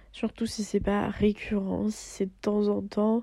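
A very clean recording of a woman speaking against a silent background. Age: 20s. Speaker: podcast host. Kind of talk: casual monologue.

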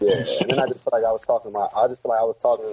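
Very fast speech from a man with an American accent, over noticeable background noise. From Maryland, DMV (Bowie, Prince George's County). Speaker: R&B singer and songwriter. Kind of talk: casual interview.

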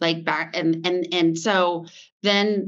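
Her intonation fairly even, a woman with an American accent and a fairly low pitch speaks in an unremarkable speaking voice. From US, Vermont. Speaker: fashion brand founder. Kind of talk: interview.

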